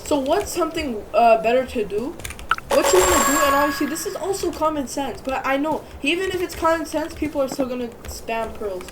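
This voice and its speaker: A woman's high-pitched voice at a moderate pace, with lively intonation, audible room echo and noticeable background noise. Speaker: gaming YouTuber. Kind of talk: gameplay tutorial. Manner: casual, filler-heavy; stuttering, self-correcting.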